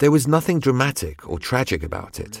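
A man with vocal fry at a fairly quick pace, in a very clean recording with a silent background. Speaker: voice-over translator of a French designer's interview. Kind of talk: dubbed interview translation.

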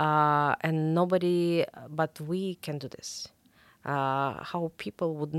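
A woman speaks with a Russian accent at a very deep, low pitch. The sound is dry and close, with no echo. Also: very clean recording, silent background. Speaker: investigative journalist. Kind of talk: interview. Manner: halting, many fillers and repetitions.

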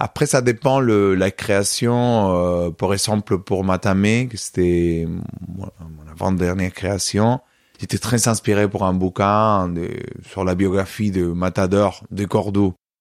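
On a very clean recording with a silent background and a dry, close sound with no echo, a man with a Spanish accent speaks very slowly at a fairly low pitch with fairly even intonation. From Spain, Córdoba (Andalusia). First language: Spanish (speaking French). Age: 30s. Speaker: flamenco dancer and choreographer. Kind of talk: interview.

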